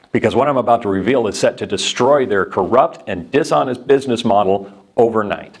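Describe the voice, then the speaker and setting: An unremarkable speaking voice from a man with an American accent, medium pitch, ordinary pitch variation and a fairly quick pace. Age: 50s. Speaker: sales presenter. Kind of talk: sales pitch. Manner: urgent.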